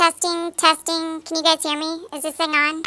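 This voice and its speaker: At a moderate pace, a woman uses a put-on character voice pitched extremely high, with monotone, flat intonation. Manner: silly, playful.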